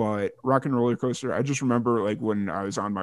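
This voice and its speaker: A fairly quick male voice with an American accent, in a dry, close sound with no echo. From Chicago area, Illinois. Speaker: theme park merchandise cast member. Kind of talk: casual chat. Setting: video call.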